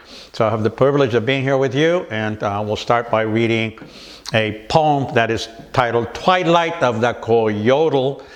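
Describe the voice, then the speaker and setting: At a fairly slow pace, a man talks at a medium pitch with ordinary pitch variation, amid noticeable background noise. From California. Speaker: writer and poet. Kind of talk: interview answer. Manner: casual, hesitant.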